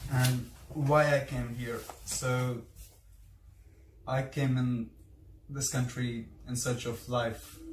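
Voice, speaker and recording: A man speaks at a medium pitch with fairly even intonation, and the room echo is audible. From India. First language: Hindi. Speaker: vlogger. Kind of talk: casual interview. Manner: halting.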